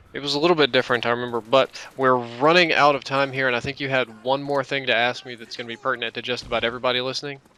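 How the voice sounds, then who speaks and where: Very fast, monotone, flat speech from a man at medium pitch, with hardly any pauses and noticeable background noise. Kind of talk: gaming commentary.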